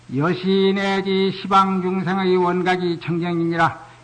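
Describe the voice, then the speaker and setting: With audible room echo and noticeable background noise, a man talks at a very slow pace in a high pitch. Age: 60s. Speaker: Buddhist monk. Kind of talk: sermon.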